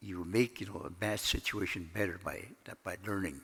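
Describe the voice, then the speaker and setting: Audible room echo surrounds a man speaking with an American accent at a fairly low pitch. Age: 80s+. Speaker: professor of Native studies. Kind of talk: conference talk. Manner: halting, many fillers.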